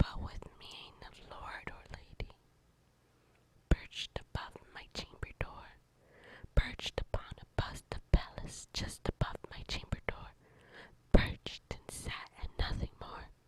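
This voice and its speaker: In a gentle tone, someone whispers very slowly, with long, frequent pauses and noticeable background noise. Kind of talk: ASMR poetry reading. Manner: gentle, quiet.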